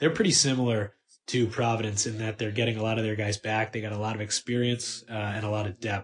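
Somewhat breathy and medium in pitch, a man talks at a fairly quick pace. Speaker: sports writer. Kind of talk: casual sports chat.

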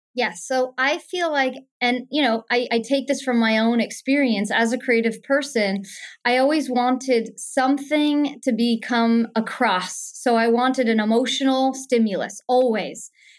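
A woman speaks at a high pitch. Her pace is fairly slow and her intonation fairly even. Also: very even loudness, quiet background. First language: German. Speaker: business consultant and life strategist. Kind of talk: interview conversation.

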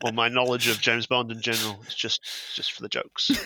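A man speaks at a medium pitch. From New Zealand. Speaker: television researcher and fan site contributor. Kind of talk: casual chat.

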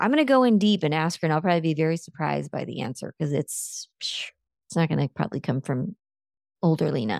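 A woman talks at a very fast pace with a very deep, low pitch, vocal fry and lively intonation, recorded very cleanly with a silent background and a dry, close sound with no echo. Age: 50s. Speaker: business coach. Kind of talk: casual chat.

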